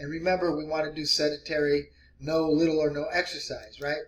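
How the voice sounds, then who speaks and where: A man's fairly high voice at a moderate pace. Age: 60s. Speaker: weight loss vlogger. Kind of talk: casual vlog tutorial. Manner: casual, hesitant with many fillers.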